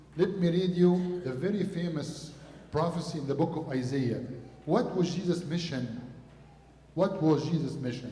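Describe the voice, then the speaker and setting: A man with a high voice talks at a moderate pace with ordinary pitch variation and long, frequent pauses. There is audible room echo along with noticeable background noise. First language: Arabic. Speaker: priest. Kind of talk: sermon.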